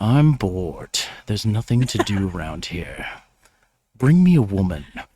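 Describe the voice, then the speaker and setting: Using a put-on character voice, a man speaks with a fairly low pitch at a moderate pace. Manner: bored.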